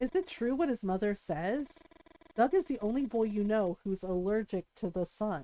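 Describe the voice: Someone reads text out loud. The delivery is plain.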